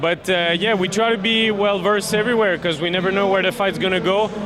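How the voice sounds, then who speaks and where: Fairly quick, fairly even-toned male speech over noticeable background noise. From Quebec. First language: French. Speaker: MMA fighter. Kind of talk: post-fight interview. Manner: halting, many fillers.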